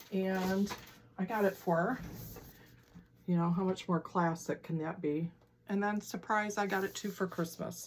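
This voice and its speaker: Speech comes at a fairly slow pace with ordinary pitch variation. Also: woman. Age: 60s. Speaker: quilting and stitching vlogger. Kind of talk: casual chat. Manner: chatty, with many fillers and restarts.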